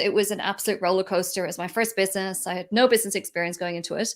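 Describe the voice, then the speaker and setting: On a very clean recording with a silent background, a woman with an Irish accent speaks at a medium pitch with fairly even intonation. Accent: Irish, hasn't picked up Australian. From Ireland. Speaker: entrepreneur and business mentor. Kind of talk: interview.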